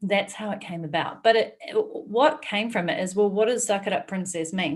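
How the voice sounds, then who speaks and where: A woman speaks in a New Zealand accent. Her pitch swings very widely. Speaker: entrepreneur and author. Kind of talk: interview conversation.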